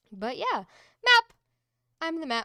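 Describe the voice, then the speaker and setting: A woman's bright, sharp tone carries vocal fry and very wide pitch swings. The sound is dry and close, with no echo. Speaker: tabletop game master. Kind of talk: game narration and casual chat. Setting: live stream.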